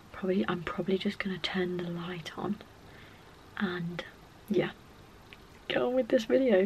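Soft-spoken at a moderate pace, this voice comes over light background noise. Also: woman. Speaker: vlogger. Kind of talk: casual vlog chat. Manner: hushed late-night soft voice. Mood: cheerful, relaxed. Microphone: phone near.

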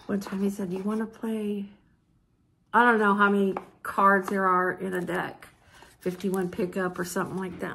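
The pace here is fairly quick. A woman is talking over light background noise. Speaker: vlogger. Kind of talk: casual vlog haul. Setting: at home, filming herself with mom nearby. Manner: chatty, informal. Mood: cheerful, delighted. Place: home room. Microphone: phone near.

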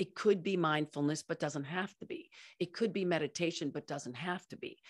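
With lively intonation and a moderate pace, a woman talks over a quiet background. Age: 50s. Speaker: company founder and culture consultant; podcast co-host. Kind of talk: interview. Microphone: studio mic.

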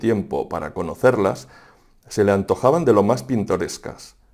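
Moderate-paced talk from a man, the background quiet. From Aragon, Spain (Fonz, Huesca); Aragon, Spain. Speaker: writer and secondary school teacher. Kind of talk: reading aloud; book presentation. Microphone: lapel.

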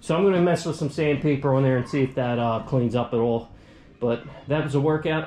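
The speech comes at a fairly quick pace, with audible room echo. Faint music plays in the background. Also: man. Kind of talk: casual vlog chat. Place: workshop. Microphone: phone near.

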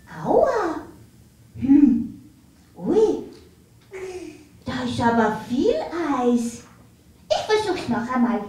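Here is a cartoonish character voice at a fairly high pitch and very slow pace. Long, frequent pauses come through with a slight echo. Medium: puppet.

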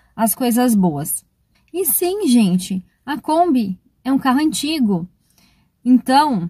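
Her voice high-pitched but dark and mellow in tone, a woman speaks at a very slow pace against a quiet background. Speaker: travel vlogger. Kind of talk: casual vlog chat. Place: car. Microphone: phone near.

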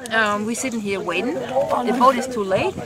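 Loud background noise surrounds a dry sound that has no echo. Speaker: mother vlogger. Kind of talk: casual vlog chat. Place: waterside. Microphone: phone near.

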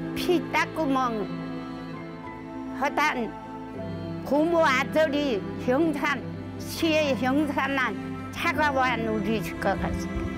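Clear music plays in the background as a woman speaks at a very slow pace with long, frequent pauses, in a dry sound with no echo. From Jeju. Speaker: survivor of a massacre. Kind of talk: interview answer. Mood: recounting painful memories. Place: open country. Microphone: lapel.

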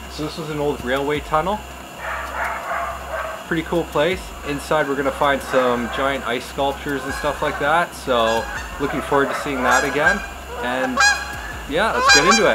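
A man talks at a moderate pace with ordinary pitch variation, leaving long, frequent pauses over loud background noise. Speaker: urban explorer vlogger. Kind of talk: casual vlog chat. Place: open country.

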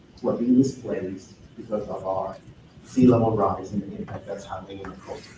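With a Spanish accent, a man speaks in a somewhat breathy voice with ordinary pitch variation, over noticeable background noise and audible room echo. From Nicaragua. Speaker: housing advocate; panelist. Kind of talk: panel discussion. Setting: gallery with live audience. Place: hall.

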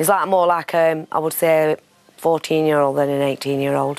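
Music plays behind a woman with a very deep, low voice. She speaks at a moderate pace in a monotone, flat intonation. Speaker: mother of a sick child. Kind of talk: documentary interview.

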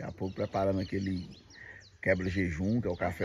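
Against noticeable background noise, a man speaks with a very deep, low pitch and a somewhat breathy sound. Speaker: video blogger showing farm life. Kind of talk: casual talk to camera. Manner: upbeat. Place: farm machine. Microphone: phone near.

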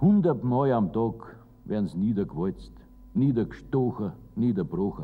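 A man speaks at a fairly slow pace. His pitch sits fairly low. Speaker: poet reciting own poem. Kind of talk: poetry reading. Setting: old recording with treble loss. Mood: warm, lively, humorous.

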